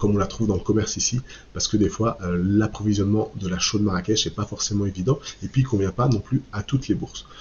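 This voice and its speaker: A man speaks in a fairly low, somewhat breathy voice. His pitch varies in an ordinary way. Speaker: online course creator, eco-construction channel host. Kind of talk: sales pitch. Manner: hesitant, many fillers.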